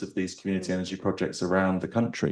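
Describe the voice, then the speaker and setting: At a very fast pace, a man rattles off his words. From northern England, North Yorkshire. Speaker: former government climate policy official, panelist. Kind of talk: panel discussion.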